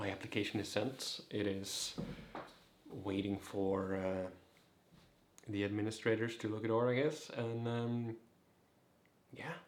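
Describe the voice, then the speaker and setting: With long, frequent pauses and audible room echo, a man talks at a fairly slow pace in a fairly low pitch and fairly even intonation. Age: 20s. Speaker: vlogger, cancer survivor. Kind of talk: casual vlog.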